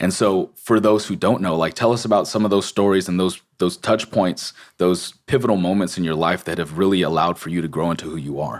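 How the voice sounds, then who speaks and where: Speaking in an American accent with hardly any pauses, a man uses a very deep, low pitch with ordinary pitch variation. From Los Angeles, US. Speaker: podcast host. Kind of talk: casual interview.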